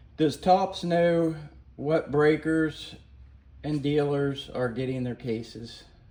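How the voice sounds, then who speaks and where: Mumbling at a very slow pace, a man speaks in a dark, mellow tone at a fairly high pitch with ordinary pitch variation, and audible room echo surrounds him. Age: 50s. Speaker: YouTuber, car restorer and card collector. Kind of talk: casual rant to camera. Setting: garage.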